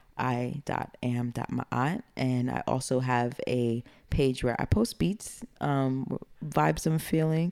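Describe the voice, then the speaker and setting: A woman with a Brooklyn accent, very deep, low pitch, lively intonation and fairly slow pace. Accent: New York (Brooklyn). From East Flatbush, Brooklyn, New York. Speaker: music producer and rapper. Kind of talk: casual interview chat. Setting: studio.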